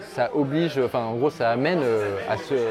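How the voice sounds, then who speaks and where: A man's fairly high-pitched voice with lively intonation against crowd noise in the background. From France, Lyon area. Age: 40s. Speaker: portrait photographer. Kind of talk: casual interview. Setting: bar.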